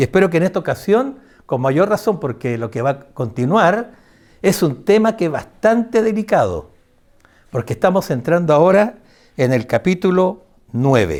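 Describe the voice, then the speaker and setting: A man at a moderate pace, high-pitched with very wide pitch swings, in a very clean recording with a silent background. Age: 70s. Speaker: preacher. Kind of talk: sermon. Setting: church.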